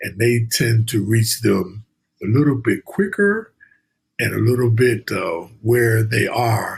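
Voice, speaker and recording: A man speaks at a fairly slow pace with a somewhat breathy, medium-pitched voice. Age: 60s. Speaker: financial education instructor. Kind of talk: interview. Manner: halting.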